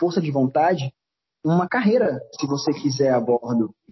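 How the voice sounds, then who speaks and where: A man speaks in a normal speaking voice with a fairly high pitch. His pace is moderate and his pitch variation ordinary. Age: 20s. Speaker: cruise ship crew member. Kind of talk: casual chat.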